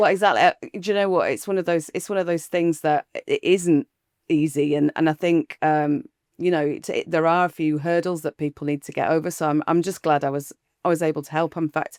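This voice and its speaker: The recording is very clean with a silent background and a dry, close sound with no echo, as a woman with a northern English accent and a fairly low pitch speaks at a fairly quick pace with fairly even intonation. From West Yorkshire (Halifax). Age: 50s. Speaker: EV charging company founder. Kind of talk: interview.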